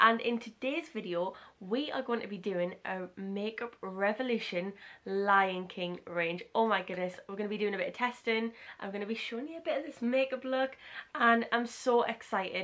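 At a moderate pace, a woman speaks at medium pitch with a fairly bright tone and ordinary pitch variation.

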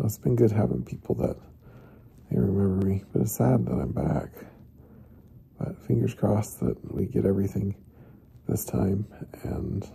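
A man speaks at a moderate pace. He leaves long, frequent pauses. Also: fairly low pitch for a man. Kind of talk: casual vlog chat. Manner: weak, subdued patient voice. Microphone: phone near.

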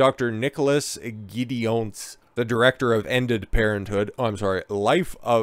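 A man talks at a moderate pace with ordinary pitch variation, and the recording is very clean with a silent background.

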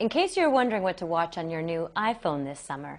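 A woman talks with very wide pitch swings. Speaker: news reporter. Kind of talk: news report. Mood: light, friendly. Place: office. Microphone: lapel.

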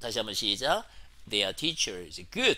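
A man talks in a bright, sharp tone. The recording is very clean, and the background is silent. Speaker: English teacher. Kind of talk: lecture. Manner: animated.

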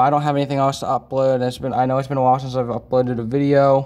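Words come from a man at a very fast pace. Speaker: vlogger. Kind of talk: casual vlog chat. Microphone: phone near.

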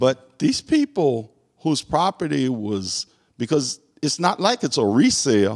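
Over a quiet background, a man with an American accent speaks at a fairly slow pace with lively intonation. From US South. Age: 60s. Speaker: court clerk; interview guest. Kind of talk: casual interview. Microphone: handheld.

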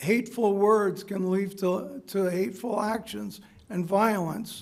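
Amid noticeable background noise and audible room echo, a man with a high voice speaks at a very slow pace with ordinary pitch variation. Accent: American. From USA. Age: 70s. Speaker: public commenter at school board meeting. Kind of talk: public comment speech. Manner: halting.

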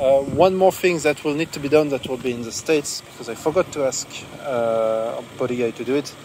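Spoken at a fairly quick pace with ordinary pitch variation, the voice comes through noticeable background noise. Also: man. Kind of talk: casual walkaround commentary. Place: open country. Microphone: phone near.

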